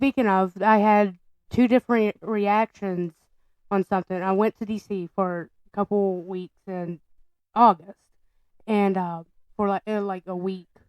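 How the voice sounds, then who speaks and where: A woman with a Southern US accent at a fairly slow pace, fairly even intonation and long, frequent pauses, in a dry, close sound with no echo. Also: medium pitch for a woman. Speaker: podcast co-host. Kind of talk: casual chat.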